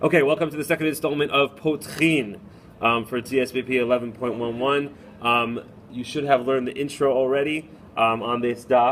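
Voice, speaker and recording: Noticeable background noise accompanies a man speaking at a fairly quick pace, with medium pitch and fairly even intonation. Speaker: rabbi and Talmud teacher. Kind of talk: recorded lesson. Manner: fast.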